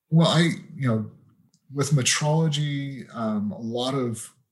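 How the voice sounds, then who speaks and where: Speaking at a fairly slow pace with a western US accent, a man uses a fairly high, somewhat breathy voice with ordinary pitch variation. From Utah, US. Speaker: temperature metrologist. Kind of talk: interview.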